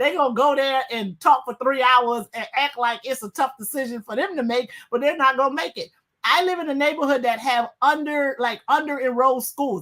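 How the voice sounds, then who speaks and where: Bright and sharp in tone, a woman speaks at a high pitch and a fairly quick pace, sounding animated, with ordinary pitch variation. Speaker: guest co-host, attorney. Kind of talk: heated panel debate. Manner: fast.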